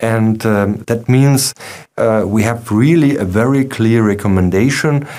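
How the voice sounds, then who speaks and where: With a German accent, a man speaks in a dark, mellow tone at a medium pitch. His pace is fairly slow, his loudness very even and his pitch variation ordinary. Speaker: company webinar host. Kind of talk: webinar presentation. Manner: halting, many fillers. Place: studio.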